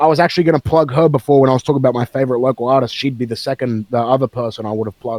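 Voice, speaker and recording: A man with an Australian accent at medium pitch, very fast and with hardly any pauses, fairly even in intonation, in a dry, close sound with no echo. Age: 20s. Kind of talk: casual chat.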